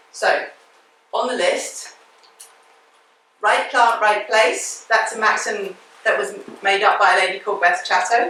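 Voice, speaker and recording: Audible room echo fills the recording. Behind this woman's speech, background noise is noticeable. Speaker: gardener giving a talk. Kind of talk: illustrated talk to a local group. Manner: fast; projecting loudly to the room.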